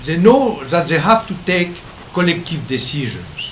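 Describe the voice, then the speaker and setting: A high-pitched male voice amid noticeable background noise and audible room echo. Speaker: economics professor. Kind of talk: lecture. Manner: halting.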